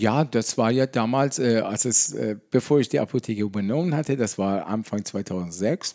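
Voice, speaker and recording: A dark, mellow tone at a moderate pace with ordinary pitch variation, in a dry, close sound with no echo and a very clean recording with a silent background. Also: man. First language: not German (speaking German). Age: 50s. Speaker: pharmacist. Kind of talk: casual interview. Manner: halting.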